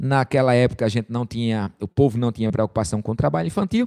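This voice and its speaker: In a northeastern Brazilian accent, a man speaks with a dark, mellow tone in a dry, close recording with no echo. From Brazil, Rio Grande do Norte (Caicó). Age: 40s. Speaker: preacher. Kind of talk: sermon.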